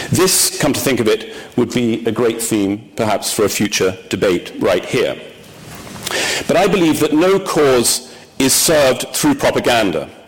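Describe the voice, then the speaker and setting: A man at a moderate pace with lively intonation over noticeable background noise. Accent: English. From England. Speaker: newspaper executive. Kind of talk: formal speech. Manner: formal; hesitant with ums.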